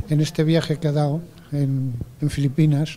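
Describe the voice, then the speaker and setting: A man talks fairly slowly at a fairly high pitch, in a monotone, flat intonation. Noticeable background noise can be heard. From Spain. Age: 70s. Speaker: audience member asking a question. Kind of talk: audience question at forum. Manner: halting.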